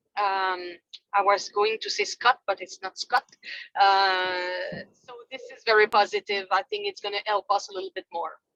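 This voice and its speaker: In a Quebec French accent, a bright, sharp voice keeps fairly even intonation at a moderate pace with big swings in loudness, recorded dry and close with no echo. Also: woman, medium pitch for a woman. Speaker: fitness industry representative. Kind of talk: business meeting update. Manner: halting.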